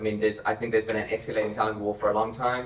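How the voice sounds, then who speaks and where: The voice stays monotone and flat against noticeable background noise. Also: man. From South Africa. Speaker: tech company co-founder. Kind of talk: panel discussion.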